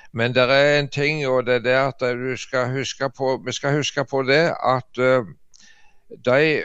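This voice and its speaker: Delivered very slowly, the words come with fairly even intonation. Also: man. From Jæren, Rogaland, Norway. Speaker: artist and preacher. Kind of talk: casual chat.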